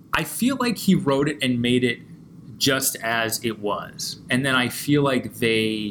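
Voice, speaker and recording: With an American accent, a man speaks at a very slow pace. His intonation is lively. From US Northeast, Pennsylvania (near Scranton). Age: 30s. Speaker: documentary filmmaker. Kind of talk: casual chat.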